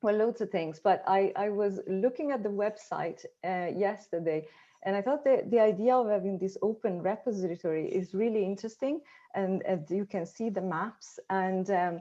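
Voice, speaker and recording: A woman talks at a medium pitch. She has an Italian accent. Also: ordinary pitch variation, moderate pace. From Italy. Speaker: academic researcher. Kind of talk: conference discussion. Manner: halting, many fillers and repetitions.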